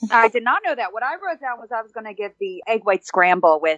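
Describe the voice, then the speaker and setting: A woman's fairly high voice moves at a fairly quick pace with very wide pitch swings. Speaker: podcast panelist. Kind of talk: casual chat. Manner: fast.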